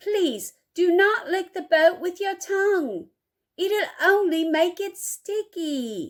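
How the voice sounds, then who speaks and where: A squeaky, put-on character voice at a very slow pace. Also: woman, extremely high pitch for a woman. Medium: read story. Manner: excitable, playful.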